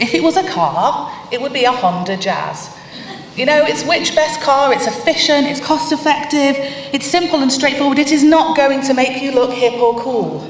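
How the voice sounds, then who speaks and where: A woman speaks at a moderate pace with a high pitch and very wide pitch swings. Audible room echo and noticeable background noise are present. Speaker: conference speaker on web content. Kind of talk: conference talk.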